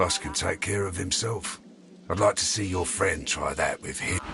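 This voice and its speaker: A man's raspy, gruff put-on character voice at a moderate pace, with clear background noise. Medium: video game. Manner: gruff, streetwise, folksy grammar.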